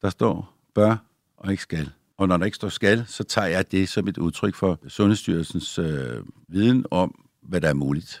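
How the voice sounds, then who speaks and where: In a very clean recording with a silent background, a man speaks with a very deep, low pitch and vocal fry. His pace is fairly slow, his pitch variation ordinary, and the sound dry and close with no echo. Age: 60s. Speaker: doctor. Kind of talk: interview.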